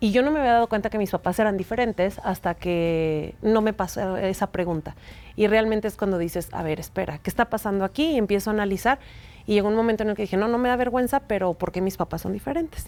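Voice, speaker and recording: Talking at a very fast pace, a woman keeps a medium pitch with ordinary pitch variation. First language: Mexican Sign Language (speaking Spanish). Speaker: sign language interpreter. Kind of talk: interview.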